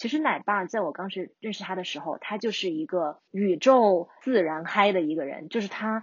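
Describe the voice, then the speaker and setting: Lively intonation colors this woman's ordinary speaking voice at a moderate pace. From China, urban. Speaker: long-distance hiker. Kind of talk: interview.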